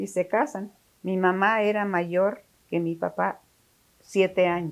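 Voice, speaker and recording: Words come out at a very slow pace while the pitch varies in an ordinary way. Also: woman. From Mexico, Taxco (Guerrero). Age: 90s. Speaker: interviewee recounting family history. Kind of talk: interview. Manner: halting.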